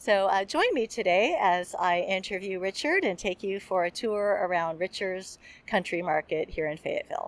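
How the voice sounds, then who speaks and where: A woman with an ordinary speaking voice talks at a moderate pace and a medium pitch, with ordinary pitch variation and hardly any pauses. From US, outside Arkansas. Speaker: podcast host. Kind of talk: vlog intro narration. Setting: in a market.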